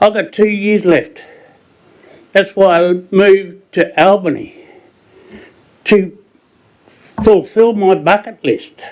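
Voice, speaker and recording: Very slow speech from a high-voiced man, with ordinary pitch variation and long, frequent pauses. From Queensland, Australia. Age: 70s. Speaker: pensioner, caravan park resident. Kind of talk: public statement at council meeting.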